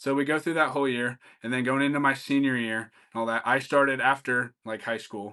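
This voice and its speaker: With an American accent, a man speaks at medium pitch and a moderate pace, his tone bright and sharp against a quiet background. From small-town Kansas. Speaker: high school football coach. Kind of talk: casual chat.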